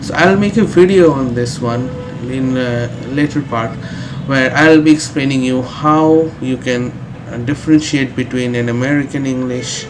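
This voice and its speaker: Noticeable background noise sits behind a man speaking at a moderate pace. His medium-pitched voice has ordinary pitch variation. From India. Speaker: English teacher. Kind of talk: tutorial. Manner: frequent hesitations (uh).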